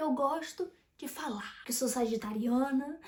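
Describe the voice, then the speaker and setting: A woman talks with lively, bouncing intonation. Her voice sits high in pitch. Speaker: YouTuber, personal development. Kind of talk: casual monologue to camera. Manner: animated.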